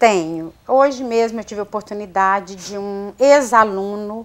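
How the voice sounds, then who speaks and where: Her pitch is fairly high for a woman. She talks at a fairly slow pace. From Minas Gerais, Brazil (Viçosa); Minas Gerais, Brazil. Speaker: university administrative staff member; guest. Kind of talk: TV interview. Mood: warm, grateful, reflective. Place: studio. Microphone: lapel.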